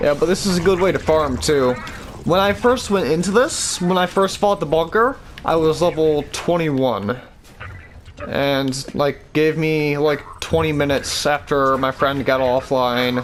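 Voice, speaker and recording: Amid noticeable background noise, a man talks at a fairly slow pace in a fairly high pitch, with ordinary pitch variation and very even loudness. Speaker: gaming video creator. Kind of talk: gameplay tutorial. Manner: casual, halting.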